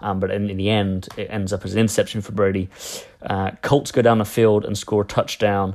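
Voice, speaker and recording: A man with an English accent speaks fairly quickly at a fairly low pitch in a monotone, flat intonation. The recording is very clean with a silent background. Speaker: NFL podcast host. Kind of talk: solo sports podcast recap.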